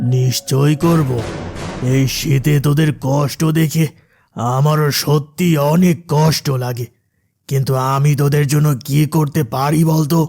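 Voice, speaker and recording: A man's cartoonish character voice, fairly high and monotone with flat intonation, at a fairly slow pace with music in the background. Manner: patronizing, uses familiar address to inferiors.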